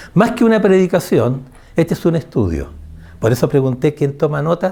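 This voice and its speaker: With a dark, mellow tone and vocal fry, a man speaks at a moderate pace, his fairly high pitch rising and falling in lively intonation. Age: 70s. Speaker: preacher. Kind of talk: sermon. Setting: church.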